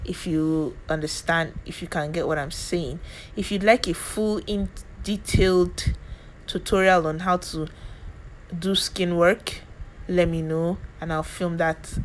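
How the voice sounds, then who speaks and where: A woman in a Nigerian accent speaks at a fairly slow pace and fairly low pitch, leaving long, frequent pauses. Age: 20s. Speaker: beauty youtuber. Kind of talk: tutorial. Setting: home. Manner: animated.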